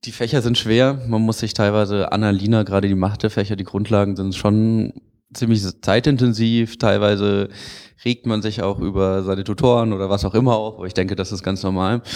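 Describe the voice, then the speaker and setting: A man with a plain, everyday voice speaks fairly quickly at a fairly low pitch, keeping his intonation fairly even. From Freiburg, southwest Germany. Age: 20s. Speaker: engineering student. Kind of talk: interview.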